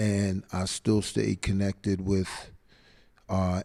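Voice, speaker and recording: A man in a New York accent with a dark, mellow tone and monotone, flat intonation. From split between New York City and Atlanta area. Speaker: hip hop event host. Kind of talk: interview. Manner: high energy.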